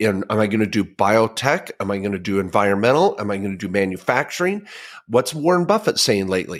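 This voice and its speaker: Lively intonation at a very fast pace, in a very clean recording with a silent background. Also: man, fairly low pitch for a man. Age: 50s. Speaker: podcast co-host and tax lawyer. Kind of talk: casual financial advice chat. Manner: animated.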